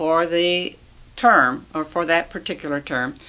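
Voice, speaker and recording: A woman's very deep, low voice with a bright, sharp tone. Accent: US Midwestern. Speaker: retired schoolteacher. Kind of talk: oral history interview. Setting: at home.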